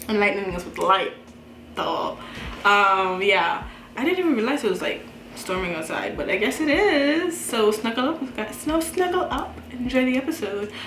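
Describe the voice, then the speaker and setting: With noticeable background noise and audible room echo, a woman speaks at a fairly high pitch with very wide pitch swings. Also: moderate pace. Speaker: reaction youtuber. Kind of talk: casual chat. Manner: animated.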